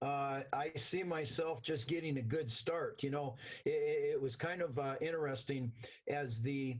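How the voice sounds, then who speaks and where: A fairly high-pitched, somewhat breathy male voice at a moderate pace, with very even loudness. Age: 60s. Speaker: interview guest, company employee. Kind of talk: interview. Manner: animated.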